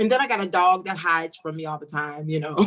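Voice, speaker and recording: Her tone comes across bright and sharp. The woman talks loudly. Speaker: talk show co-host. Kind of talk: casual chat.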